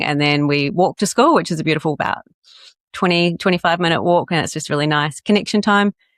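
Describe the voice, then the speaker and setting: With a slight New Zealand accent, a woman speaks at a very fast pace in a very deep, low pitch and fairly even intonation, in a dry, close sound with no echo against a quiet background. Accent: Kiwi accent, slight. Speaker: coach and podcast guest. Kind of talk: casual interview chat.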